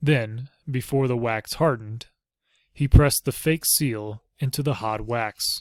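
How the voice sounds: Set against a quiet background, a natural reading voice carries ordinary pitch variation.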